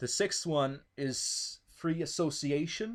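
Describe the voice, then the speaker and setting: The recording of this man is very clean, with a completely silent background. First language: not English (English is third language, Italian second). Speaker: political talk show host. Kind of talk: casual political discussion. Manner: halting, repeats words.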